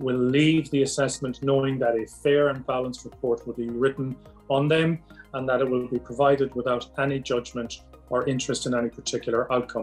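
A man with an Irish accent speaks at a medium pitch and a fairly quick pace. His intonation stays fairly even, and faint music plays in the background. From Ireland. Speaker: psychiatrist. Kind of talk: promotional self-introduction. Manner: formal. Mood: calm, measured, formal. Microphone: webcam.

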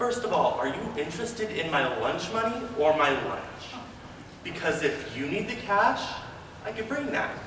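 A man talks at a moderate pace. The room echo is audible, with light background noise. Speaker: auditioning actor. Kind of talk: audition slate and performed monologues. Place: hall. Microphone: camera far.

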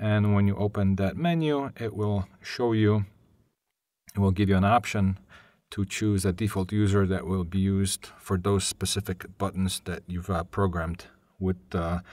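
Over a very clean recording with a silent background, a man with a low pitch and a slightly mellow tone talks at a fairly slow pace with fairly even intonation.

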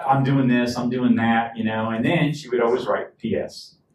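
Audible room echo surrounds a man's somewhat breathy voice with ordinary pitch variation. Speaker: pastor. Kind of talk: sermon. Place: church.

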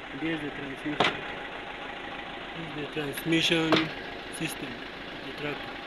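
Moderate pace over loud background noise. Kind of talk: commentary. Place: open country.

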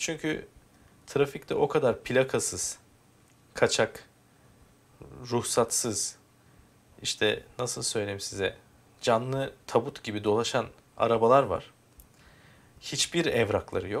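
A man talks at a very slow pace. His pauses are long and frequent. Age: 30s. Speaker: YouTuber explaining car insurance. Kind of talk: screen-recorded tutorial. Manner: casual, conversational.

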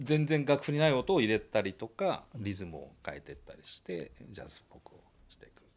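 At a moderate pace, a man speaks with vocal fry, very wide pitch swings and big swings in loudness. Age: 50s. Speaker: trumpet player and studio owner; guest. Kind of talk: casual interview chat. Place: home room. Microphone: studio mic.

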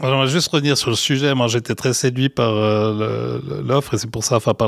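In a dry, close sound with no echo, a man speaks at a fairly quick pace with ordinary pitch variation. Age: 50s. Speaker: innovation project manager. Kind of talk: interview. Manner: halting, frequent repetitions.

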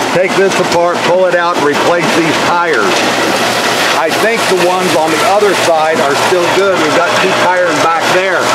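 The speech comes at a moderate pace over loud background noise. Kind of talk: casual walkthrough explanation. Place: factory. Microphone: phone near.

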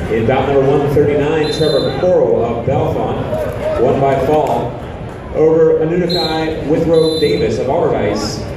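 A man speaks at a fairly slow pace with ordinary pitch variation. Strong room echo and noticeable background noise surround his voice. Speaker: tournament PA announcer. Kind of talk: announcement of results. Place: hall.

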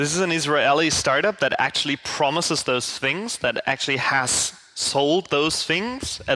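Over a quiet background, a man speaks in a bright, sharp tone. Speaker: conference speaker. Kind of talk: lecture. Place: hall.

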